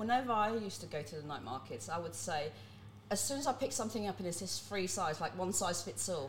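A woman speaks very fast in a fairly low voice, her pitch swinging very widely, with noticeable background noise and audible room echo. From Netherlands until 11, then UK. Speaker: nude model. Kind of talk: casual chat.

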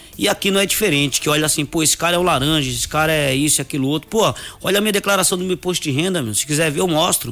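A man talks at a very fast pace in a fairly high pitch, with ordinary pitch variation. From Brazil, Northeast (Coité do Nóia, Alagoas). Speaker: personal trainer and gym owner. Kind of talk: radio interview.

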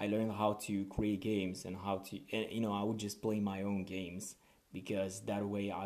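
A man speaks with a non-native accent at a moderate pace. His voice is fairly low, with monotone, flat intonation. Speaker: podcast host. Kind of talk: casual monologue.

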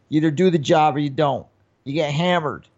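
A man with an American accent and an unremarkable speaking voice, his pitch fairly high and his intonation fairly even. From New York. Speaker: podcast co-host and comedian. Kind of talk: casual chat.

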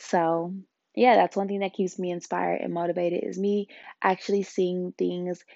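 A woman speaks at a medium pitch. She has an unremarkable speaking voice. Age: 20s. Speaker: podcast host. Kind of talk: casual monologue; motivational talk.

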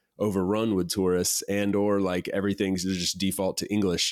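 Very deep and low in pitch, a man talks at a fairly quick pace with monotone, flat intonation. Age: 30s. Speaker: podcast host. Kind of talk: casual interview chat. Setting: video call.

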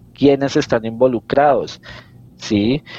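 A man speaks with a dark, mellow tone. His pace is moderate. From Colombia, Bogotá. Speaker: detective and podcast creator. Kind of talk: casual interview, storytelling.

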